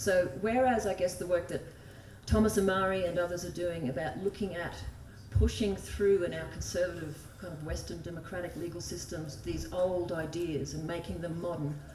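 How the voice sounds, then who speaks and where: A woman speaks with fairly low pitch and ordinary pitch variation, her loudness swinging widely. Noticeable background noise and audible room echo fill the recording. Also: moderate pace. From Australia (desert, outback). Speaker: environmental law advocate. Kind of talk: conference talk. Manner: casual, chatty.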